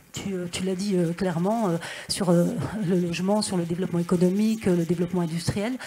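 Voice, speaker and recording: A medium-pitched woman's voice against noticeable background noise. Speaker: senator and regional councillor. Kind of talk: panel discussion remarks. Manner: fast.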